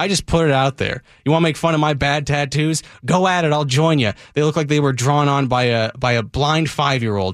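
At a fairly quick pace, a man with a fairly high pitch and ordinary pitch variation is heard in a very clean recording with a silent background. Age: 30s. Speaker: radio host. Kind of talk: casual chat. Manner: animated.

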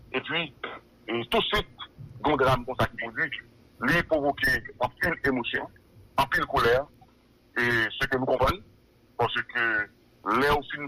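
Over noticeable background noise, a man speaks very slowly, pausing long and often. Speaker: police spokesperson. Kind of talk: phone interview. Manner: halting, many hesitations.

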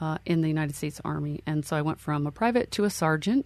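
A woman speaks with a Mid-Atlantic US accent at a very deep, low pitch. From Pennsylvania, Lancaster County. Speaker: army veteran and professor. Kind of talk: interview storytelling.

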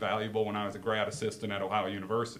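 A man talks at a very fast pace with a fairly low pitch and fairly even intonation. The room echo is audible, and background noise is noticeable. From Wisconsin. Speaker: girls basketball coach. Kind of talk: casual interview.

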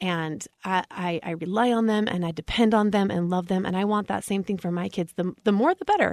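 A woman speaks in a medium pitch with an American accent. Her pitch varies in an ordinary way, and the sound is dry and close with no echo. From Utah. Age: 30s. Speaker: mom influencer. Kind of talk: casual chat.

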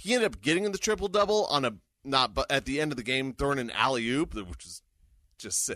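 A man's fairly high, bright, sharp voice at a very fast pace, with very wide pitch swings and big swings in loudness. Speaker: hockey radio voice and podcast co-host. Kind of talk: casual sports chat. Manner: animated.

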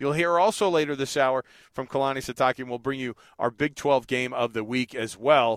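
On a very clean recording with a silent background and a dry, close sound with no echo, a man speaks at a fairly quick pace with medium pitch and ordinary pitch variation. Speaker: radio sports host. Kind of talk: radio sports show banter. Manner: casual, energetic.

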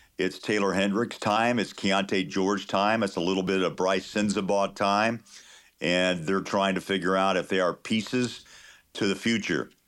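With an American accent and a normal speaking voice, a man talks at a moderate pace and fairly low pitch, his intonation fairly even and his loudness very even, on a very clean recording with a silent background. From Kansas. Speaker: NBA play-by-play announcer. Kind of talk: radio interview.

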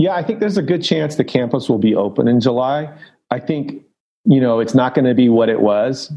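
Talking at a fairly quick pace in a Californian accent, a man uses lively intonation at a medium pitch. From Los Angeles, San Fernando Valley. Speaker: college soccer head coach. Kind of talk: podcast interview.

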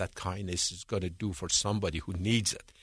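A somewhat breathy man with an Iranian accent speaks at a moderate pace, the sound dry and close with no echo and the background quiet. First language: Persian. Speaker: foundation founder, businessman. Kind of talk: radio interview.

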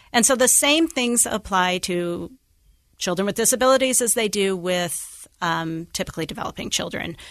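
A woman with a normal speaking voice and an American accent talks at a medium pitch with lively intonation against a quiet background. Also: moderate pace. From Idaho (Idaho Falls). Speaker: social worker, nonprofit program officer. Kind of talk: interview conversation.

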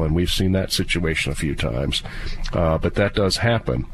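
A man with a very deep, low voice speaks with lively intonation over noticeable background noise. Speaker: estate planning attorney. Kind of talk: legal advice radio show. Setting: studio.

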